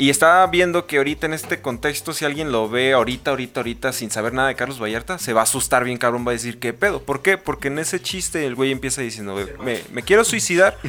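A man talks at a very fast pace with hardly any pauses, his medium pitch showing ordinary variation against noticeable background noise. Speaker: podcast co-host. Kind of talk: casual chat.

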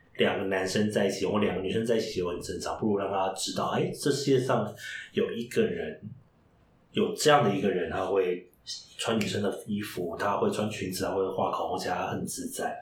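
Audible room echo hangs around this man's voice. He talks fairly quickly. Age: 30s. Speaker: drag queen who reads picture books to children. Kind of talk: interview.

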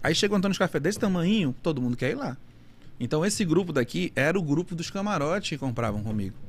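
A man with vocal fry speaks at a very fast pace, broken by long, frequent pauses. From Manaus, Amazonas, northern Brazil. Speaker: nightlife event producer. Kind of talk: casual interview chat.

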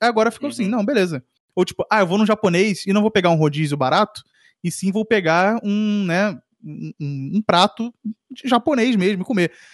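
High-pitched and lively in intonation, a man talks at a fairly quick pace. The sound is dry and close with no echo, over a quiet background. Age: 20s. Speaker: podcast co-host. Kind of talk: casual chat.

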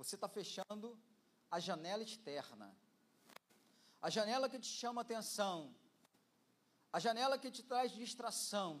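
A man with a high voice speaks at a fairly slow pace, pausing long and often, with ordinary pitch variation. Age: 50s. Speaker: pastor. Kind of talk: sermon. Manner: energetic.

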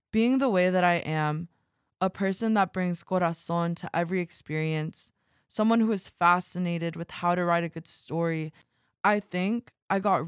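At a moderate pace, a woman with a plain, everyday voice speaks at a fairly low pitch and with fairly even intonation, the sound dry and close with no echo on a very clean recording with a silent background. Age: 20s. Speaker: podcast host. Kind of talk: personal narration.

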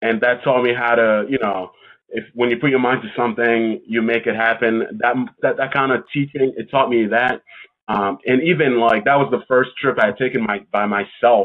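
A man talks at a moderate pace in a plain, everyday voice. His pitch is medium, with fairly even intonation. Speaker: podcast host. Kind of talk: casual interview chat.

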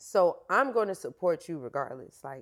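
In an American accent, a woman with an unremarkable speaking voice talks at a moderate pace and medium pitch in a very clean recording with a silent background. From Florida. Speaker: fitness coach. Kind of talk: interview conversation.

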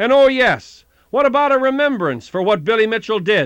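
Over a quiet background, a man speaks at a moderate pace in a dramatic tone with lively intonation. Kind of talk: history documentary narration. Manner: formal, measured, storytelling delivery with dramatic emphasis.

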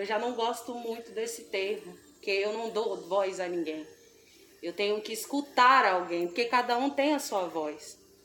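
A woman's fairly high voice at a fairly slow pace, with ordinary pitch variation and noticeable background noise. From Brazil, Espírito Santo (Grande São Pedro). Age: young. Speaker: singer and dancer. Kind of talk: casual chat.

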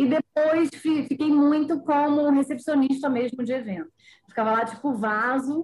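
A woman speaks in a high voice at a fairly slow pace. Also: ordinary pitch variation. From Bahia, Brazil (born in Rio). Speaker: writer and former model. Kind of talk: podcast interview.

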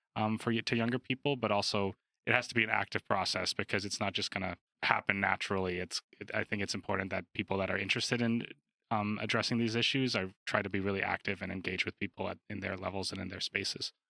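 At a very fast pace, the voice has a bright, sharp tone, with a dry, close sound with no echo on a very clean recording with a silent background. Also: man, fairly low pitch for a man, fairly even intonation. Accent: Canadian. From Calgary, Canada. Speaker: podcast host. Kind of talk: podcast conversation.

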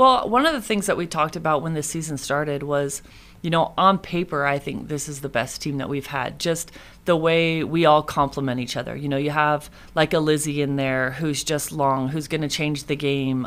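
A woman with a very deep, low voice talks at a moderate pace, her pitch varying in an ordinary way. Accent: Californian. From Northern California (Moraga). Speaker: women's basketball head coach. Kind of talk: casual interview.

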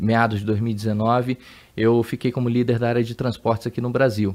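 Here is a normal speaking voice at a moderate pace. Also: man. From Brazil, Amazonas. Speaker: logistics executive. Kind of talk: interview.

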